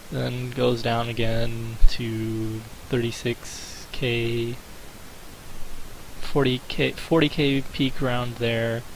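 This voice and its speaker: A man speaks at a very slow pace with long, frequent pauses and a monotone, flat intonation. Audible room echo and noticeable background noise fill the recording. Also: medium pitch for a man. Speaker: gaming video creator. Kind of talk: commentary video. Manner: hesitant with fillers.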